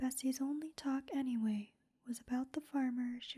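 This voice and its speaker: A soft-spoken woman with a high pitch talks at a moderate pace, her intonation fairly even. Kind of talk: ASMR sleep-story book reading.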